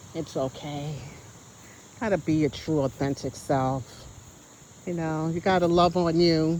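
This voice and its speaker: This woman talks at a fairly slow pace with a dark, mellow tone. Her pitch varies in an ordinary way. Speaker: vlogger. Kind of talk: casual vlog talk. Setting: outdoors in nature. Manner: stutters at times.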